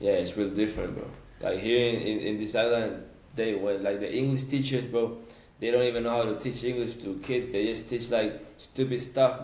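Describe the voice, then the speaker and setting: In a Spanish accent, a man speaks at a fairly quick pace with audible room echo. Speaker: podcast guest. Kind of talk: casual chat. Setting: podcast recording. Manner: halting.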